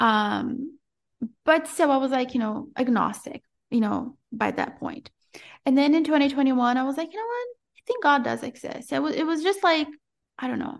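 Against a quiet background, a woman speaks at a moderate pace with a high pitch and ordinary pitch variation. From Brazil. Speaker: entrepreneur and mom. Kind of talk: casual interview chat. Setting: video call.

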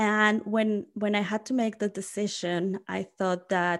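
The recording is very clean, with a silent background. A woman talks at a very slow pace and medium pitch, her intonation fairly even. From Mexico (Mexico City). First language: Spanish. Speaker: college staff, former international student. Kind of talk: casual interview. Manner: many fillers and restarts.

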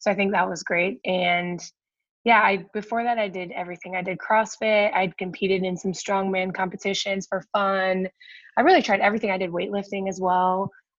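At medium pitch, a woman talks at a fairly quick pace in a monotone, flat intonation. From Ohio, US Midwest (Akron). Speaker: powerlifting coach and online fitness creator. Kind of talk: casual interview chat.

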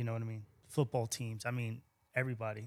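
A man speaks at a fairly quick pace in a medium-pitched, monotone, flat voice. The recording is very clean, the background silent. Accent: New York. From Long Island, New York. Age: 50s. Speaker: sneaker shop owner. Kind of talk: casual interview.

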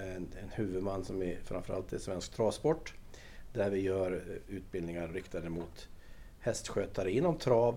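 Dark, mellow tone from a man with a fairly low pitch, at a moderate pace. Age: 60s. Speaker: equestrian centre director. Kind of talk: interview. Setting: on location at equestrian centre.

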